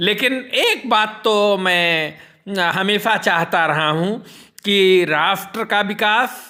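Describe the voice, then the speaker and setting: A man speaks at a high pitch. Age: 60s. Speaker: social commentator. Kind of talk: personal monologue on politics and devotion. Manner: formal.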